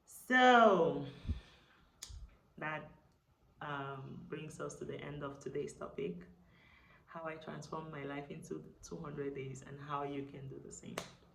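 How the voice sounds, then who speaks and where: In a room with audible echo, a woman speaks at a fairly slow pace with long, frequent pauses. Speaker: lifestyle vlogger. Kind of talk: casual vlog talk to camera. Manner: animated.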